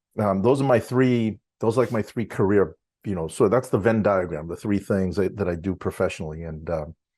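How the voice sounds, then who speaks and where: This man has an ordinary speaking voice, fairly low in pitch, with ordinary pitch variation. He talks at a fairly quick pace against a quiet background. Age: 60s. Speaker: university lecturer and drum student. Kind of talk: interview.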